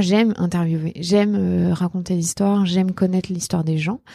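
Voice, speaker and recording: A woman's voice has a dark, mellow tone and ordinary pitch variation. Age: 30s. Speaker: journalist and podcaster. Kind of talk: casual interview chat. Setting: meeting room. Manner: loud.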